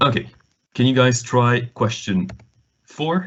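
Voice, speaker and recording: This man talks at a fairly slow pace. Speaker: online maths tutor. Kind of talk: online lesson. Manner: hesitant, many fillers.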